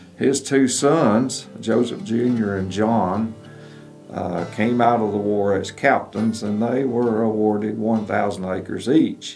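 Over faint background music, a man speaks at a very slow pace with fairly even intonation. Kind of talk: interview answer. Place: studio.

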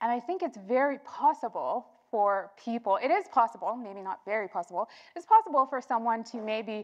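A high-pitched woman at a moderate pace against a quiet background. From Zimbabwe, Harare. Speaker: software engineer and keynote speaker; keynote speaker. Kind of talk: keynote talk. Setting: stage with audience. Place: hall.

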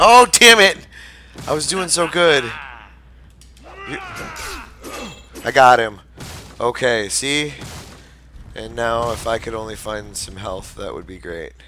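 Amid noticeable background noise, a man speaks at a very slow pace with long, frequent pauses and big swings in loudness. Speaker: gamer. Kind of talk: gameplay commentary. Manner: casual, animated.

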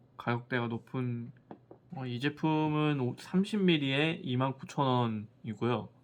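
Here is a man with a normal speaking voice at a medium pitch. He goes at a fairly slow pace with ordinary pitch variation. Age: 30s. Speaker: skincare product reviewer. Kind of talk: casual product review.

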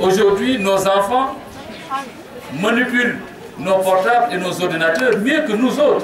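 A man speaks with a high pitch and ordinary pitch variation at a fairly slow pace, leaving long, frequent pauses. Audible room echo and noticeable background noise fill the recording. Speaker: mayor and education official. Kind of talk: formal speech at ceremony. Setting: school ceremony with audience, PA microphone. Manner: formal.

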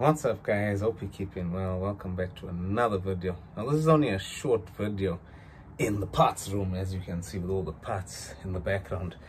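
There is noticeable background noise behind a man with a very deep, low pitch. He talks at a moderate pace with ordinary pitch variation. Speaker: car parts vlogger. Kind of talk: casual vlog chat. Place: home room. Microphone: phone near.

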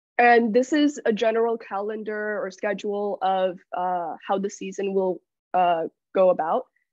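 At a moderate pace, a woman speaks with ordinary pitch variation. The background is quiet, and the sound is dry with no echo. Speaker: student robotics bootcamp lead. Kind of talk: presentation. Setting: video call. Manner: halting. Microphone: video call.

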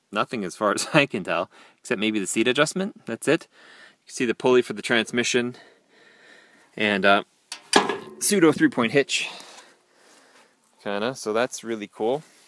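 The recording is dry with no echo, though background noise is noticeable. A man speaks at a moderate pace, leaving long, frequent pauses. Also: ordinary pitch variation. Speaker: hobbyist vlogger showing a tractor. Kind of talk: casual vlog chat. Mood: pleased, relaxed. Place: open country. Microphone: phone near.

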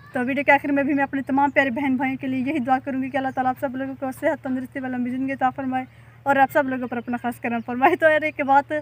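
Here a woman talks at a very fast pace with monotone, flat intonation. The sound is dry, with no echo. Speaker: village vlogger. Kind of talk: casual vlog chat. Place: farm. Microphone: phone near.

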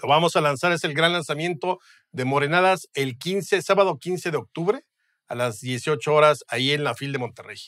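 Against a quiet background, a man talks at a moderate pace in a fairly high voice with ordinary pitch variation. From Mexico. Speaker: historian and writer; guest. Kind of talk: casual interview. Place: studio. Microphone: studio mic.

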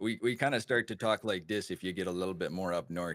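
Putting on a character voice with a northern Wisconsin accent, a man talks very fast in a very deep, nasal tone.

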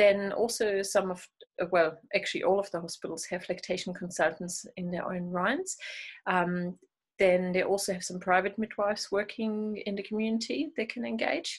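With a German accent, a woman speaks at a moderate pace and medium pitch, her voice somewhat breathy with ordinary pitch variation against a quiet background. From Germany. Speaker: midwife and lactation consultant. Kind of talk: interview. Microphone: earbuds.

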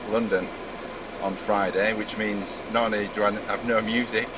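A man's fairly low voice, dry with no echo, over noticeable background noise. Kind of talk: casual complaint demo. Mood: frustrated, resigned. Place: car. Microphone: phone near.

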